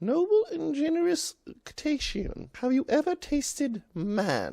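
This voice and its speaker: A man does a put-on character voice at an extremely high pitch. He speaks fairly slowly. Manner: sly, flattering, polite.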